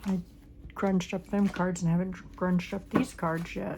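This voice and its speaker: A somewhat breathy woman's voice at medium pitch with monotone, flat intonation. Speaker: crafting channel host. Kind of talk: crafting tutorial.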